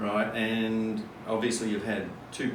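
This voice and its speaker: A man at medium pitch, with noticeable background noise and audible room echo. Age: 60s. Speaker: men's group host. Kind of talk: interview.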